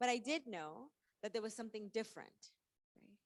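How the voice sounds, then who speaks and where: The speaker, a woman, talks fairly quickly. She has a Spanish accent. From Mexico. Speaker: author and activist. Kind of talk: keynote talk.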